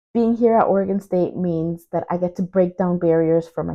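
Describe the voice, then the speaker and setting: A woman with a Spanish accent speaks at a moderate pace and a fairly low pitch. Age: young. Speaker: university student. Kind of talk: video update.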